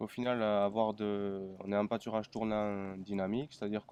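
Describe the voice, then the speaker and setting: A man at a fairly low pitch and moderate pace. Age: 20s. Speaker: dairy farmer. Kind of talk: interview. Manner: halting.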